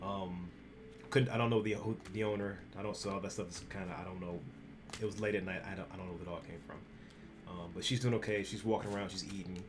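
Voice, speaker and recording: A man with a fairly low voice talks very fast, his intonation fairly even but his loudness swinging widely. Room echo is audible, along with noticeable background noise. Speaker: graphic designer and streamer. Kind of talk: casual vlog talk. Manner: halting with many fillers.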